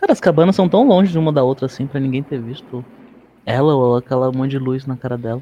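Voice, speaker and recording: A man talks at a very fast pace. His pitch sits in the medium range and varies in an ordinary way. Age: 20s. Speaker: podcast host. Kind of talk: casual chat.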